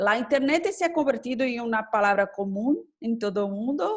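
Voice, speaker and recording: The background stays quiet. A woman talks in a fairly high voice. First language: Portuguese (speaking Spanish). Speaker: government official and law professor. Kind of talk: conference presentation. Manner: halting, many hesitations.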